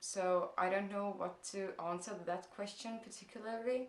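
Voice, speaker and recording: The speaker has an Estonian accent, a fairly slow pace and fairly even intonation. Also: woman. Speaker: blogger. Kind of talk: vlog Q&A. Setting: parents' house. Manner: hesitant, many fillers.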